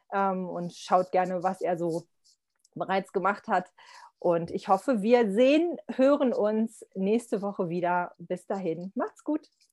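A woman's medium-pitched voice at a very slow pace, with ordinary pitch variation and a dry, close sound with no echo, in a very clean recording against a silent background. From Lower Saxony, Germany. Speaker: podcast host, youth welfare worker. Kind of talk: interview.

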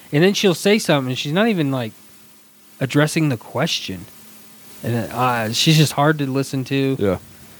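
A man speaks at a moderate pace with lively intonation and a fairly high pitch. There is noticeable background noise. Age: 30s. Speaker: podcast co-host. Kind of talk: casual chat.

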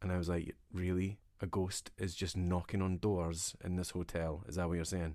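A man with a Scottish accent speaks at a moderate pace in a very deep, low voice, his tone dark and mellow, his intonation flat and monotone, his loudness very even, on a very clean recording with a silent background. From Scotland. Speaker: podcast co-host. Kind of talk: casual chat.

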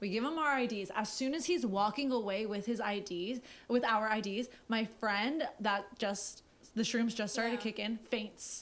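A woman speaks in an ordinary speaking voice. Her pitch is fairly high. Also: ordinary pitch variation. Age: 20s. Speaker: podcast co-host. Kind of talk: casual chat. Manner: fast.

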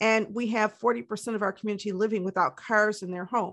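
A woman at a medium pitch, talking at a fairly quick pace with fairly even intonation against a quiet background. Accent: American. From Detroit, Michigan. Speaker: community organization leader. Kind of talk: interview testimony.

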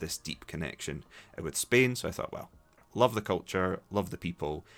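A man speaks in a Scottish accent at a fairly quick pace. His pitch varies in an ordinary way, with music in the background. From Scotland, Dundee. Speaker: English teacher and podcast host. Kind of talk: solo podcast monologue for learners. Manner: hesitant, with frequent repetitions.

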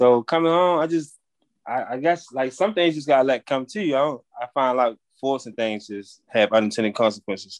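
A man with a medium-pitched, plain, everyday voice speaks at a moderate pace. The sound is dry and close with no echo, over a quiet background. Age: 30s. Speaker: formerly incarcerated landscaping business owner. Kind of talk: casual interview.

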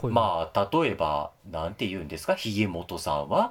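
Against a silent background on a very clean recording, a man is talking. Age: 40s. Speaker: podcast co-host. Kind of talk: casual chat.

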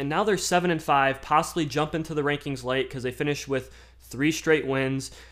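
A man with an American accent talks at a moderate pace in a fairly high pitch, with fairly even intonation. It is a normal speaking voice, on a very clean recording with a silent background. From Michigan. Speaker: sports podcaster. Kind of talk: casual solo podcast.

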